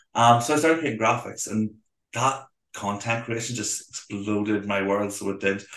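In a Belfast accent, a man speaks at a fairly low pitch. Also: ordinary pitch variation, moderate pace. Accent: Belfast Northern Irish. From Northern Ireland, Belfast. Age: 30s. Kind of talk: casual interview chat.

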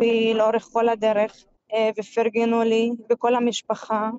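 A woman speaks at a fairly high pitch with an Arabic accent. Her pace is very slow. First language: Arabic (speaking Hebrew). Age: 30s. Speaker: Paralympic goalball player. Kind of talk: interview.

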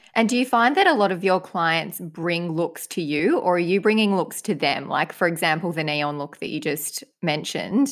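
A woman with an Australian accent speaks at a moderate pace with hardly any pauses. Her voice is fairly low in pitch, and her intonation is lively. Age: 20s. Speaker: podcast co-host. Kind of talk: casual chat.

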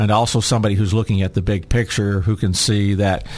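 This man has an unremarkable speaking voice, with an American accent, a fairly low pitch and fairly even intonation. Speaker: state legislator. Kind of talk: radio interview.

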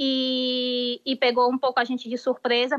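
A high-pitched woman's voice with monotone, flat intonation. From Brazil. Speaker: doctor. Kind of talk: live interview. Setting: remote live link from Spain.

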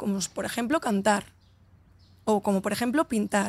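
The voice comes at a moderate pace in an animated tone. The sound is dry and close with no echo, on a very clean recording with a silent background. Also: woman. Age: 30s. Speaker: entrepreneur and author. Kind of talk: casual interview. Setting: outdoors in a hotel garden.

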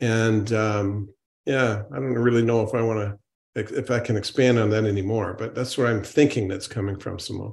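A man at a medium pitch talks at a moderate pace with fairly even intonation in an unremarkable speaking voice. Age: 60s. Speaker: natural medicine doctor. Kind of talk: panel discussion.

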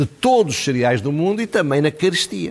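Against a quiet background, a man with a European Portuguese accent speaks with very wide pitch swings. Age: 70s. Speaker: political commentator. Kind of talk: TV commentary interview.

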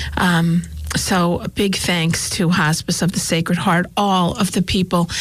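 This woman has a fairly low pitch, a somewhat breathy voice and an American accent. She talks at a moderate pace in a monotone, flat intonation. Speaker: radio talk show co-host, fundraiser. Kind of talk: casual radio chat. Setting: studio. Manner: halting.

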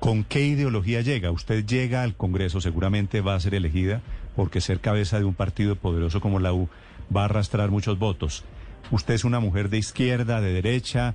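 A man's voice at a fairly quick pace, with very even loudness throughout. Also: ordinary pitch variation. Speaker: radio interviewer. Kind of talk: radio interview.

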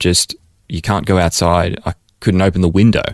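Speaking at a moderate pace in an Australian accent, a man with a very deep, low pitch comes through on a very clean recording with a silent background and a dry, close sound with no echo. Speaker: missionary. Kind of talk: interview. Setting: studio.

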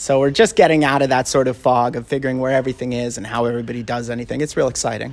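Barely pausing, a man talks at a very fast pace and medium pitch with fairly even intonation. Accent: Canadian. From Canada, Vancouver. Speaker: chef. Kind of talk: interview. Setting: restaurant.

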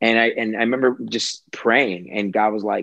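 An ordinary speaking voice from a man with an American accent, fairly low in pitch, with ordinary pitch variation and a moderate pace. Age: 30s. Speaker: entrepreneur. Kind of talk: casual chat.

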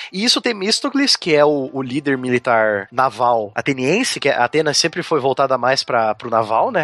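In an ordinary speaking voice, a man talks with lively intonation. He leaves hardly any pauses. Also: fairly high pitch for a man, moderate pace. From southern Brazil, Curitiba. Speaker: history teacher. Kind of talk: casual podcast chat explaining history.

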